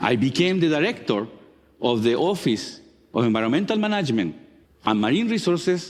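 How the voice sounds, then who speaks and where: In a strong Chilean accent, a man talks at a fairly quick pace with very wide pitch swings. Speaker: marine geologist. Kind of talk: talk to an audience.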